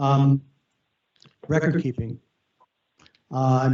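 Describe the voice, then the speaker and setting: Somewhat breathy, a man speaks at a fairly high pitch. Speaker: county official presenting federal funding rules. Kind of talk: presentation. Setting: video conference meeting. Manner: fast.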